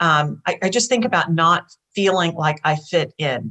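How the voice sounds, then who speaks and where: A woman's fairly low-pitched voice with a bright, sharp tone. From Texas, Cuban refugee family. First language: Spanish. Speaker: business executive. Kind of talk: panel discussion.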